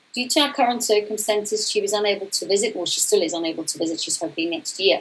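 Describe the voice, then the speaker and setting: Very fast, lively speech from a woman at medium pitch, with noticeable background noise. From South Africa. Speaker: coach. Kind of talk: conference talk.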